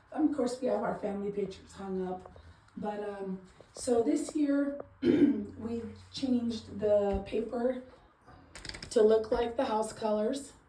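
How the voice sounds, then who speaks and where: Amid noticeable background noise and audible room echo, a woman speaks fairly high and fairly slowly, with ordinary pitch variation and long, frequent pauses. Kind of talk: casual home tour. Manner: hesitant, filler words.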